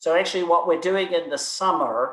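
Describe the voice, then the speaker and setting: In a non-native accent, a man is talking. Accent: noticeable foreign. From outside the US. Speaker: university provost. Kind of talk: Q&A answers at student government meeting. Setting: video call. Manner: hesitant, many repetitions.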